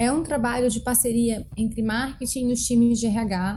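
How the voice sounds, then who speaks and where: Her voice is fairly high for a woman, with a dark, mellow tone and fairly even intonation. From Brazil, Brasília (Taguatinga). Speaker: marketing executive. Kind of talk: interview.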